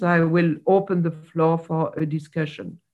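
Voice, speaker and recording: A woman with a fairly low pitch, at a very slow pace. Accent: French. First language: French. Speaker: seminar chair. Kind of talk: moderating academic seminar. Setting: video call. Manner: formal.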